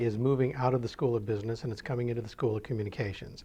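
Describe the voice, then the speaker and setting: A man talks at medium pitch with fairly even intonation. His voice is somewhat breathy. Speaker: university dean. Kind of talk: interview answer.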